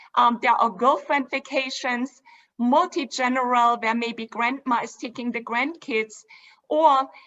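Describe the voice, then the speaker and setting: In a German accent, a woman speaks at a high pitch and a fairly slow pace with fairly even intonation. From Germany (Dresden). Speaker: cruise line executive. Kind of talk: presentation. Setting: virtual event.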